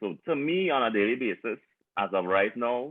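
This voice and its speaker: A man speaks with a Trinidadian accent. His pitch rises and falls in an ordinary way. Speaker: panel guest. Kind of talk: panel discussion. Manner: halting.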